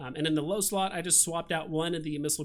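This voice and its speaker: A man speaks at a fairly high pitch with fairly even intonation, and the recording is very clean over a silent background. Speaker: gaming YouTuber. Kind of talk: tutorial. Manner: fast; casual, many fillers.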